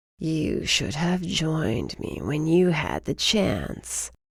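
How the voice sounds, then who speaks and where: A put-on character voice growls at a middle pitch. The pace is very slow. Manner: taunting.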